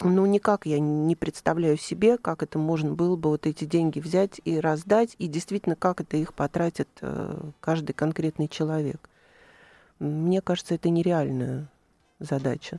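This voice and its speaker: A woman's very deep, low pitch and dark, mellow tone, with fairly even intonation, a moderate pace, long, frequent pauses, and a dry, close sound with no echo on a very clean recording with a silent background. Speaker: chief physician. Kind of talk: radio interview. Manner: formal.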